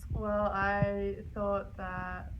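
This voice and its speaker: With noticeable background noise and audible room echo, a woman talks at a very slow pace in an Australian accent. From Melbourne, Australia. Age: young. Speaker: student athlete. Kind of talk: interview.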